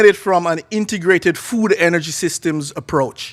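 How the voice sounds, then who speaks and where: A man with an American accent speaks at a moderate pace. His pitch is high, with ordinary variation. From Jamaica. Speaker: agricultural extension agent and researcher. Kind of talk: conference presentation. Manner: casual, with many filler words.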